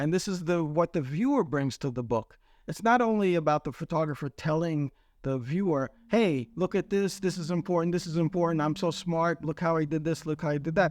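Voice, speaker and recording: A man with a New York accent and a high pitch, at a fairly quick pace with ordinary pitch variation, in a dry, close sound with no echo and a quiet background. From Queens, New York. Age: 60s. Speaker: photographer. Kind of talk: interview. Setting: in his mother's garage. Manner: reflective, conversational.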